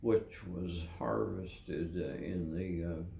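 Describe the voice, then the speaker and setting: Very deep and low, a man's voice has a dark, mellow tone and vocal fry. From Kentucky. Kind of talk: interview answer. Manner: slow, hesitant.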